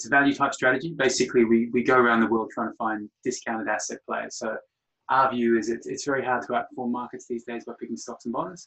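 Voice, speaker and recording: This man speaks at a very fast pace with a medium pitch and a bright, sharp tone. His intonation is fairly even, though his loudness swings widely. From Australia. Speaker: fund manager. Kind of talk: interview on a webinar. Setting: webinar.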